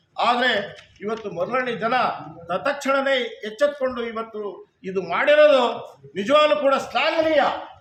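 The speaker is a man with an extremely high pitch. His pitch varies in an ordinary way. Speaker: farmer activist. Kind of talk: protest statement to press.

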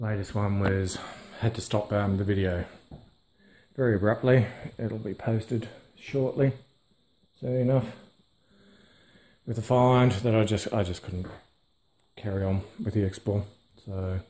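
A man's dark, mellow, somewhat breathy voice at a fairly slow pace, with long, frequent pauses. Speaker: urban explorer vlogger. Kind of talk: casual vlog chat. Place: empty room. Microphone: phone near.

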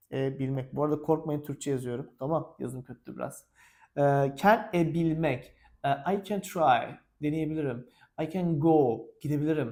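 Speaking at a fairly slow pace, a man with a fairly high pitch and a dark, mellow tone shows ordinary pitch variation. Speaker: English teacher. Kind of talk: tutorial. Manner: animated.

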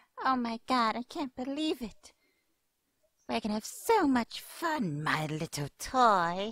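Pitched fairly high, a put-on character voice moves at a fairly slow pace. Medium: voice reel. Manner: gushing, cutesy.

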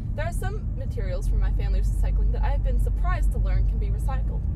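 Words come at a very fast pace in a dry sound with no echo, under loud background noise. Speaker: podcast host driving. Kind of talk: scripted podcast monologue. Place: car. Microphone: phone near.

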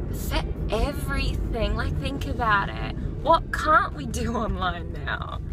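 A woman speaks with music in the background. The sound is dry, with no echo. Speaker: vlogger. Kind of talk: casual vlog chat. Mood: relaxed, opinionated. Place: car. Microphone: phone near.

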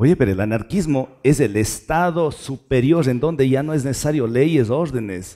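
A man talks at a moderate pace with hardly any pauses, his medium-pitched voice dark and mellow. His pitch varies in an ordinary way over a quiet background. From Ecuadorian Andes, rural Tarqui near Cuenca; Ecuador. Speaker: lawyer. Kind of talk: casual chat. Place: studio. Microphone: headset.

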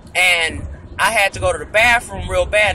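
The voice moves at a moderate pace in a dry sound with no echo, with light background noise. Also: man. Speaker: vlogger in passenger seat. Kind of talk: casual vlog chat. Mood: amused, storytelling with laughs. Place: car. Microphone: phone near.

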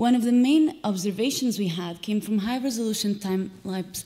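Pitch moves with ordinary variation. The speech keeps a moderate pace. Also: woman. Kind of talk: lecture. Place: hall.

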